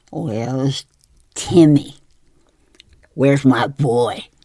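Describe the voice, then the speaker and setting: A very slow, fairly high-pitched, put-on character voice from a man. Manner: demanding, eerie.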